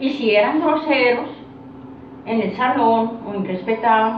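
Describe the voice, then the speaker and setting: Over noticeable background noise and audible room echo, a woman talks at a fairly high pitch. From Colombia, Santander. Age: 60s. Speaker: interviewee recalling rural childhood. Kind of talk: interview. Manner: hesitant.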